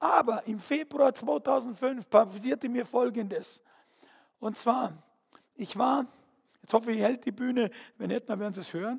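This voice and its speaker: An animated man with an extremely high voice talks at a moderate pace with ordinary pitch variation, taking long, frequent pauses. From Bavaria, Fürstenfeldbruck. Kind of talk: testimony. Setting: stage with audience.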